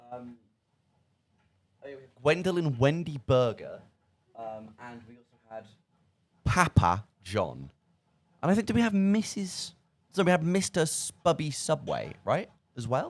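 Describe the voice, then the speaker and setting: With an English Midlands accent, a man talks in an animated tone at a fairly high pitch, his voice swinging very widely in pitch and sharply in loudness, with long, frequent pauses. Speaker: student radio presenter. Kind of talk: casual chat. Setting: radio studio.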